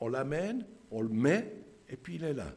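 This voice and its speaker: Very slow and marked by vocal fry, a man speaks at a medium pitch. His pitch swings very widely, and audible room echo fills the space. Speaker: lay preacher. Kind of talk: sermon. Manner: halting.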